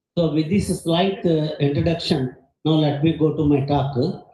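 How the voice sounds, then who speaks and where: A man's fairly high voice at a moderate pace, with audible room echo. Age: 70s. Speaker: retired geophysicist, conference speaker. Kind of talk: conference talk.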